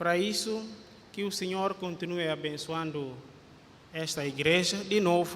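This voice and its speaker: A man's high voice at a fairly slow pace, with fairly even intonation, long, frequent pauses and audible room echo. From Guinea-Bissau. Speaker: pastor. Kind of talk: sermon. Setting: church. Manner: halting, frequent fillers.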